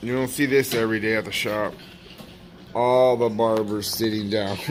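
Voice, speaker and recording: A man's medium-pitched, monotone, flat voice over noticeable background noise. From Mexican heritage. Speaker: barber, vlogger. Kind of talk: casual vlog. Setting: barbershop. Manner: fast; casual, slangy.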